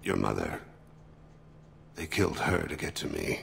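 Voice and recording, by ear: In a put-on character voice, a man speaks at a fairly slow pace with a low pitch, vocal fry and a fairly bright tone over faint background noise. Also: ordinary pitch variation.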